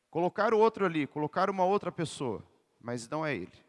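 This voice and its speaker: Speaking at a fairly quick pace, a man sounds animated and high in pitch. The sound is dry and close, with no echo. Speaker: lay preacher and PE teacher. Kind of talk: sermon.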